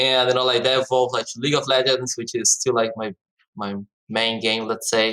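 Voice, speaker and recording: Speaking with a Portuguese accent, a man at medium pitch moves at a fairly quick pace in a bright, sharp tone with monotone, flat intonation. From Brazil. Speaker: esports startup co-founder. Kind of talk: podcast interview. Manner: frequent fillers, hesitant.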